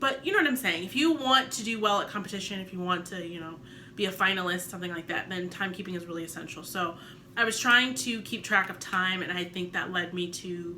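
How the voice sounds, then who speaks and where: A woman talks very fast at a medium pitch. Noticeable background noise and audible room echo surround her voice. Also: ordinary pitch variation, big swings in loudness. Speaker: vlogger, new public speaking club member. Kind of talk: casual vlog talk to camera. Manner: fast at sentence ends; varied pitch and emphasis.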